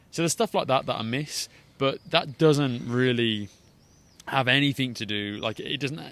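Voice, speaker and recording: Speaking in an English accent, this man's voice falls in a middle pitch range. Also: ordinary pitch variation, moderate pace. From England. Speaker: business owner and social media creator. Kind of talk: podcast interview. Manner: halting, many repeated words.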